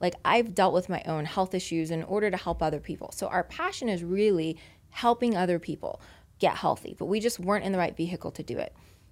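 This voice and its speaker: An animated woman with an American accent, at a very fast pace and a medium pitch with ordinary pitch variation. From US South. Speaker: guest. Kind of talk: interview.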